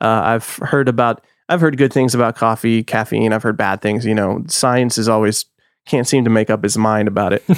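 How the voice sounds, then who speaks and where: A man with a normal speaking voice and medium pitch, at a moderate pace with very even loudness and ordinary pitch variation, in a very clean recording with a silent background. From US Texas. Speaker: podcaster. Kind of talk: casual chat.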